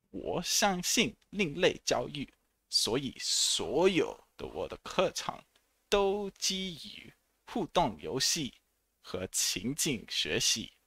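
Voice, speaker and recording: Talking at a very slow pace, a man speaks with an English accent and big swings in loudness. The sound is dry, with no echo. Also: quiet background. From England, Hertfordshire near St Albans and Watford; England. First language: English (speaking Chinese). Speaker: English teacher. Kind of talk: self-introduction video. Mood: friendly, smiling. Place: home room. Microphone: headset.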